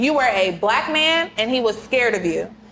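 With noticeable noise behind her, the woman's voice sits fairly high. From Kansas City, US Midwest. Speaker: lawyer, podcast co-host. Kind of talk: casual chat.

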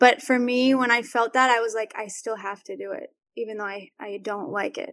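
Loudness swings widely as the speaker talks at a moderate speed. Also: woman, fairly high pitch for a woman. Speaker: singer. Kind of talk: casual chat. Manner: soft-spoken; not loud.

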